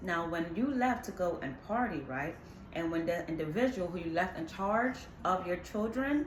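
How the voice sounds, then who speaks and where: At a moderate pace, a woman with medium pitch speaks in an animated tone with lively intonation, amid audible room echo and noticeable background noise. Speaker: tarot reader. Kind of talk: tarot reading.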